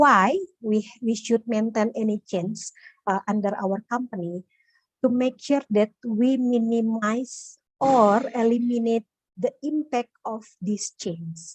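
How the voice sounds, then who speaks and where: Very slow, somewhat breathy speech from a woman at fairly high pitch, with ordinary pitch variation and a dry, close sound without echo. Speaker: occupational safety professional. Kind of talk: webinar Q&A answer. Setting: online webinar call. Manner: hesitant, many fillers.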